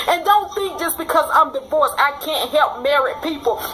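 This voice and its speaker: Raised and projected, a woman's high voice carries an animated tone at a moderate pace over noticeable background noise. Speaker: author and relationship coach. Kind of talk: personal vlog reflection.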